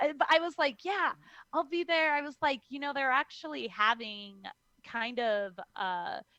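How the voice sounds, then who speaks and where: At a moderate pace, the voice is raised and projected, with very wide pitch swings. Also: woman, high pitch for a woman. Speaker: professional wrestler. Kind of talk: interview.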